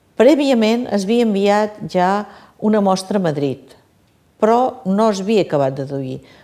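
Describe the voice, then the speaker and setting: This woman's voice is dark and mellow. She talks fairly slowly, her intonation lively. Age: 60s. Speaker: patient. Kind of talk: testimony. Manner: halting.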